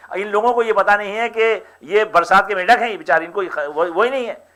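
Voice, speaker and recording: A man's bright, sharp tone at a moderate pace. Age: 70s. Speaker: community leader. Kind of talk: public speech. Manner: halting, many repetitions.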